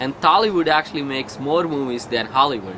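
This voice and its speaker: Against noticeable background noise, a man with a Telugu accent speaks at a fairly high pitch. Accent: Indian (Telugu) English. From India, Andhra Pradesh village. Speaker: couch-surfing host, immigrant father. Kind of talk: casual interview. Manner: halting, many fillers and restarts.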